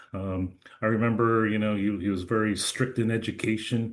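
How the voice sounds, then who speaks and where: This man has a New Jersey accent and a fairly low pitch. He speaks at a moderate pace. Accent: American, New Jersey. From New Jersey, US. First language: Chinese. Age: 50s. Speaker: lawyer. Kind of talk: interview. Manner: hesitant, many fillers.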